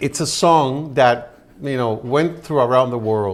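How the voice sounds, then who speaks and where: A man with a Spanish accent, medium pitch, ordinary pitch variation and a fairly slow pace. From Puerto Rico. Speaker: television personality and singer. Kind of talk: interview.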